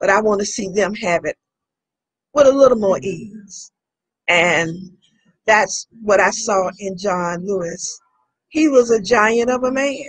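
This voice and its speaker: Speaking at a fairly slow pace with long, frequent pauses, a woman uses lively intonation at a medium pitch in a somewhat breathy voice. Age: 70s. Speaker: civil rights organization member. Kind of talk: interview.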